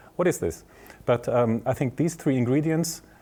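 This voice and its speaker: A man speaks with a German accent. His tone is dark and mellow. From southern Germany (Bavaria). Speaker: tech executive and professor. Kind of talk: interview. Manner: halting, many fillers.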